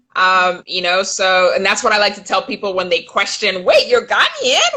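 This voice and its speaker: Speaking at a moderate pace, a woman with an American accent has a bright, sharp tone and lively intonation. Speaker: filmmaker. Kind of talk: interview. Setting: live video stream.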